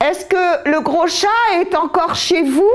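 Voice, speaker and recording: A woman puts on a character voice with an extremely high pitch. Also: moderate pace. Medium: read story. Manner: teasing, childish.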